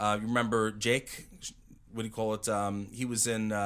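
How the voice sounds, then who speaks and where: This man has a medium-pitched voice and an American accent. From Long Island, New York. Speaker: actor, pro wrestler and radio host. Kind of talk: casual interview chat. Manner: animated.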